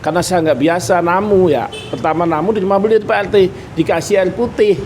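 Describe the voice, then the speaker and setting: A high-pitched man against noticeable background noise. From East Java (Nganjuk). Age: 50s. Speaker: meatball and soto shop owner. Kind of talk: casual interview chat.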